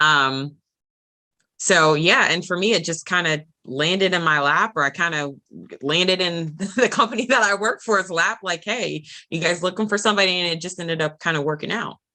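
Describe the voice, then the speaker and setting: With an American accent, a woman speaks at a moderate pace, her fairly low voice bright and sharp in tone with ordinary pitch variation. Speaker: property management regional manager. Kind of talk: interview. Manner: halting.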